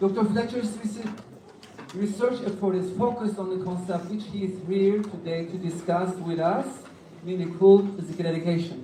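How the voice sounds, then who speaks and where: Over noticeable background noise, someone talks at a moderate pace with a Turkish accent. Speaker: conference moderator. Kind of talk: formal introduction. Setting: conference hall with audience.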